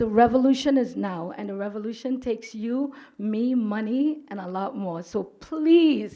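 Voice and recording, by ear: A woman speaks at a fairly slow pace with a fairly high pitch, ordinary pitch variation and a dark, mellow tone.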